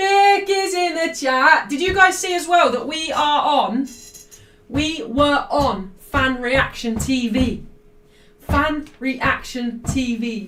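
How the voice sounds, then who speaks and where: A woman projects a raised, high-pitched voice at a very slow pace, her pitch swinging very widely. Music plays in the background, and the room echo is audible. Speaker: football streamer. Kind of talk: live watchalong stream. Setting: live stream. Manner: loud.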